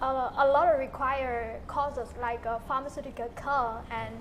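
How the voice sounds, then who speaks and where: A woman's high voice at a fairly slow pace with fairly even intonation, in audible room echo. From Myanmar. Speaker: graduate student. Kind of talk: interview.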